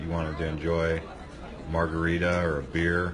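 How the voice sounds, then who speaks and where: Against noticeable background noise, a man speaks at a very deep, low pitch in a monotone, flat intonation. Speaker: tourist vlogger. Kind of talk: casual vlog chat. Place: tunnel cave. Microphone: phone near.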